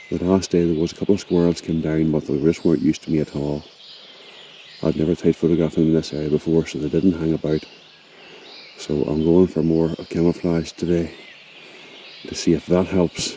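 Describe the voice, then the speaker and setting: A man speaks quietly in a very deep, low pitch with monotone, flat intonation, at a fairly quick pace broken by long, frequent pauses. Noticeable background noise runs underneath. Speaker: wildlife photographer. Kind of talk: vlog narration. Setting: outdoors in a forest.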